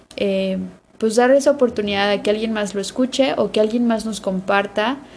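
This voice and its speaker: Over noticeable background noise, a woman talks at a medium pitch with ordinary rises and falls. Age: 30s. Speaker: podcast co-host. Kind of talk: casual chat.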